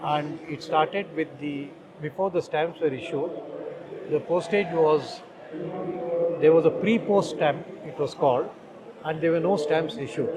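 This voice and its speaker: With noticeable background noise behind him, a man speaks at a moderate pace in a fairly high pitch with ordinary pitch variation. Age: 60s. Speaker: stamp collector. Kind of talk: exhibit walkthrough. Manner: halting.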